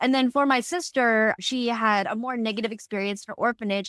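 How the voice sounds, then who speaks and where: A woman with an American accent speaks at a fairly quick pace in a fairly high voice with ordinary pitch variation, the sound dry and close with no echo. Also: very clean recording, silent background. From Indiana (US Midwest). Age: adult. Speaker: podcast co-host. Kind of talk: casual chat.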